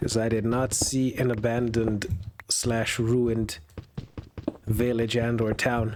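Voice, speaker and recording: With noticeable noise in the background, a man talks in a medium-pitched voice. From Europe. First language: not English. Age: 20s. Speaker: gaming video creator. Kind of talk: casual gameplay commentary. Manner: relaxed; halting.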